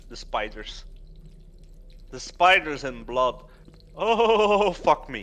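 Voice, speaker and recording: The man's delivery is very slow. Long pauses come often. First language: Dutch. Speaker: gaming livestreamer. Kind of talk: casual chat while gaming.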